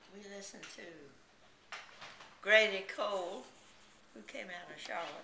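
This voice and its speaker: A woman speaks at a medium pitch and a moderate pace with a Southern US accent, her intonation fairly even. She leaves long, frequent pauses, and background noise is noticeable. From South Carolina. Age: 80s+. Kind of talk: interview answer.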